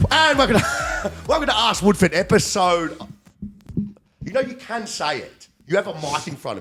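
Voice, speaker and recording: A man's raised, projected voice with an Australian accent, high in pitch and animated, with very wide pitch swings, big swings in loudness and a moderate pace. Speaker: performance coach and podcast host. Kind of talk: casual chat.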